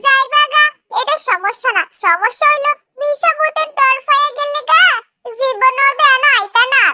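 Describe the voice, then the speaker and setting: A woman speaks in a put-on character voice, her pitch extremely high and her intonation lively. She keeps a moderate pace. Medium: audio drama. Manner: blunt, scolding.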